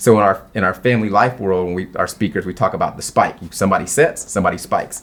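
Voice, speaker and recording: Energetic in tone, a man with fairly low pitch and ordinary pitch variation speaks at a very fast pace. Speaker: marriage speaker and author. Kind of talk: interview.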